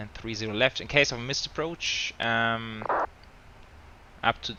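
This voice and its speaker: A man with a German accent and a medium pitch talks at a moderate pace. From Germany. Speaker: flight sim streamer. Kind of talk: live stream commentary. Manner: casual, hesitant with fillers.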